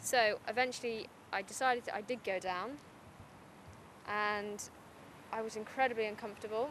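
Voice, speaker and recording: A woman with a Teesside accent speaks at a fairly high pitch with ordinary pitch variation and long, frequent pauses. The sound is dry with no echo, and there is light background noise. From Middlesbrough. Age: young. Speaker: writer and poet. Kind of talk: interview answer. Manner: casual, chatty. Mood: candid, slightly nervous laughter. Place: open country.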